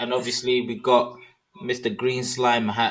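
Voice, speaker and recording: A man in a strong British accent, medium in pitch, speaking at a fairly slow pace. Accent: thick British. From London, England. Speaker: podcast host. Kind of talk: casual interview chat.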